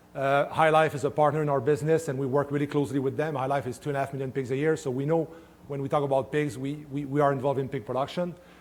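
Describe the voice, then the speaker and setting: With a French-Canadian accent, a man with a fairly high pitch talks very fast in a flat monotone, sounding somewhat breathy. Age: 50s. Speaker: swine nutritionist. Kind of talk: conference talk. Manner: halting, many fillers.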